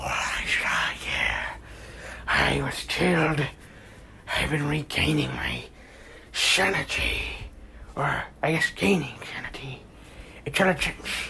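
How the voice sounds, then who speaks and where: A put-on character voice, whispering and raspy, at a fairly slow pace with long, frequent pauses. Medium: read story.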